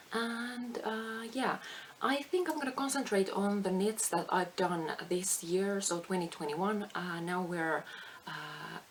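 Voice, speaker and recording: Noticeable background noise accompanies a woman at medium pitch who speaks at a fairly slow pace with lively intonation. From Finland. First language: Finnish. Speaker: craft vlogger. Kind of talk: casual chat. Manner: halting.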